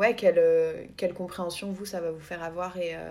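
A woman talks in a mid-range pitch at a moderate speed. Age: 20s. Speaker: podcast co-host. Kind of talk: casual chat. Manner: hesitant, many fillers.

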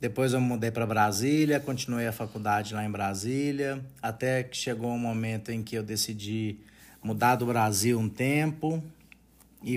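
At a moderate pace, a man with an ordinary speaking voice talks in a medium pitch with fairly even intonation. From Brazil, Minas Gerais interior (Unaí). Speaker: podcast host and retail franchise owner. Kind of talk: podcast self-introduction monologue.

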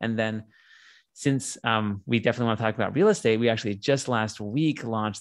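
A man with a General American accent has an unremarkable speaking voice at medium pitch, with fairly even intonation, over a quiet background. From US West Coast, San Diego. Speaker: tech company CEO. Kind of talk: interview.

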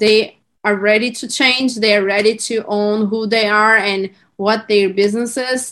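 Fairly high in pitch, a woman with a Turkish accent talks at a fairly slow pace with fairly even intonation. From Turkey. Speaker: branding entrepreneur. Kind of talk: podcast interview, casual chat. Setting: video call, remote.

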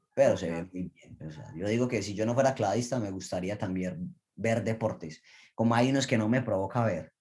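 An ordinary speaking voice, a man's fairly low pitch moves with ordinary pitch variation at a moderate pace. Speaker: Olympic diver. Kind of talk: interview.

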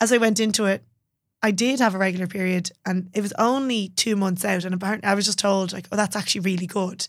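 Spoken at a fairly quick pace with a Dublin accent, this voice comes through on a very clean recording against a silent background. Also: woman. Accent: Dublin Irish. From Ireland, Dublin. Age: 30s. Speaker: personal trainer. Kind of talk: casual chat. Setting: studio.

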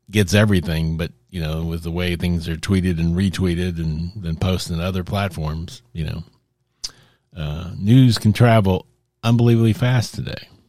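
This man has a very deep, low pitch and talks at a moderate pace. The recording is very clean, with a silent background. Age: 60s. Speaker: podcast host on Christianity. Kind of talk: solo monologue commentary. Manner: halting, many fillers and restarts.

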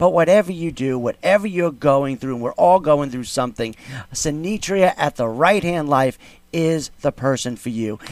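A man with a fairly high pitch speaks at a moderate pace in an animated, upbeat tone with lively intonation, the sound dry and close with no echo. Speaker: radio host. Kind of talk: radio host patter, live show. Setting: radio studio. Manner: animated, upbeat, hyped-up showman; chatty, filler-heavy ad-libbing.

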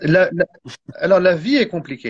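This man's voice has lively intonation and a moderate pace. It sounds somewhat breathy. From France. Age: 40s. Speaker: Islamic teacher and author. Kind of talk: interview. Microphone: phone held by hand, mic unplugged.

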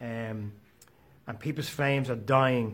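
A man talks at a medium pitch in a somewhat breathy voice. His intonation is monotone and flat. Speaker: motivational podcast host. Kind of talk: motivational monologue.

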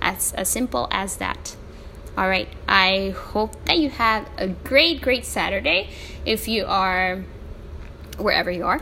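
Pausing often and at length, a woman talks fairly slowly as noticeable noise runs in the background. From El Salvador. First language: Spanish. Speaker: podcast host. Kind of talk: solo podcast monologue. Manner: animated; halting, many fillers.

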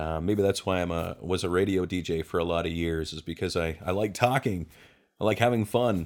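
On a very clean recording with a silent background, a man with a very deep, low voice talks at a fairly quick pace with ordinary pitch variation. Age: 40s. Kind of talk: personal monologue, testimony. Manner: casual, with frequent fillers.

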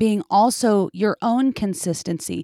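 This woman has a normal speaking voice at a medium pitch. The recording is very clean, with a silent background and a dry, close sound with no echo. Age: 30s. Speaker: podcast co-host and young minister's wife. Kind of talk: author interview.

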